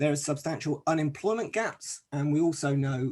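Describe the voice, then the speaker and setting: A man speaks with a British accent in a dark, mellow tone. His voice is somewhat breathy, with fairly even intonation. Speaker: academic researcher presenting a paper. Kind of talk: conference presentation. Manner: hesitant, many fillers.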